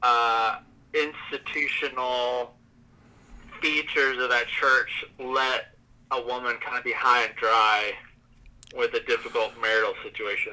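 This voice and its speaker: This voice carries a Southern US accent. It moves along at a moderate tempo. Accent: Southern US, recently stronger. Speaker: guest, works with clients. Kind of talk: casual chat.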